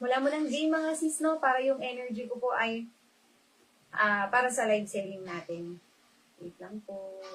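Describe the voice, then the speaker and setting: The pace is moderate. A woman talks in a high voice. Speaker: online live seller. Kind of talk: live selling stream. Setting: livestream. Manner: soft-spoken.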